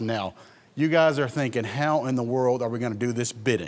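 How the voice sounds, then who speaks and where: This is an unremarkable speaking voice. It moves at a moderate pace. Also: man. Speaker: auctioneer. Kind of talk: auction presentation, casual talk to camera. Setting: church event walkthrough video. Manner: humorous, chatty, joking.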